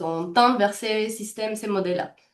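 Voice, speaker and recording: A woman speaks with a slight non-native accent. Her pitch is fairly high. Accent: slight foreign. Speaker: healthcare value trainer and consultant. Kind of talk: webinar presentation. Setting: online webinar. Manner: fast; halting, many fillers.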